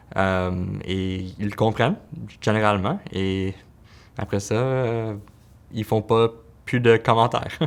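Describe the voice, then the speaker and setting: Speaking very slowly with long, frequent pauses, a man keeps a fairly low pitch and fairly even intonation. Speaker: pediatric physiotherapist. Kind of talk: interview answer. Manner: stutters.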